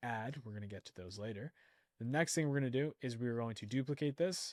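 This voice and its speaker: A man at medium pitch, very fast, with ordinary pitch variation, in a very clean, dry, close recording with a silent background and no echo. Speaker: online ads instructor. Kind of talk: screen-share tutorial.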